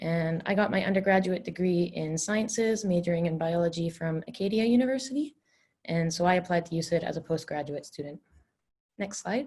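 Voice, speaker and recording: A woman speaks at a fairly quick pace. Her voice is fairly low in pitch and somewhat breathy. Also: ordinary pitch variation. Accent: Canadian. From Canada, Vancouver. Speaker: dental student. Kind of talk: webinar presentation.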